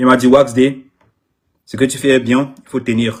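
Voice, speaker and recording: A man's somewhat breathy, medium-pitched voice with an English accent. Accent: English-speaker's French. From Anglophone Cameroon. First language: English (speaking French). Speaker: artist manager. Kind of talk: live social media video. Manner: halting, repetitive.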